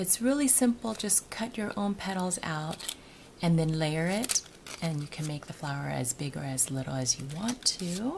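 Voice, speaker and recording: A woman speaks at a moderate pace with a fairly low pitch and very wide pitch swings. Noticeable background noise runs beneath her voice. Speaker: craft tutorial maker. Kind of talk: tutorial. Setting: at home. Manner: soft-spoken; casual with frequent fillers.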